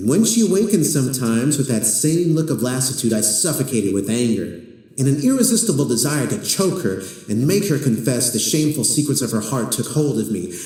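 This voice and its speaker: Over noticeable background noise, a man with medium pitch talks at a fairly quick pace with very wide pitch swings. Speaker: horror story narrator. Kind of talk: horror short story reading.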